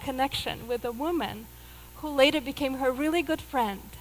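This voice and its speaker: A woman with a Russian accent talks at a moderate pace. Her pitch is high and varies in an ordinary way. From Russia (Moscow, Soviet Union). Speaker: yoga teacher and spiritual mentor. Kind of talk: inspirational talk. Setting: stage with audience.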